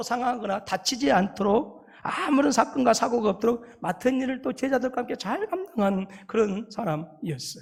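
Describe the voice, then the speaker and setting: A man speaks with a strong Jeolla accent. His pace is moderate. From South Korea, Jeolla (Haenam). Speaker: pastor. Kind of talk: sermon.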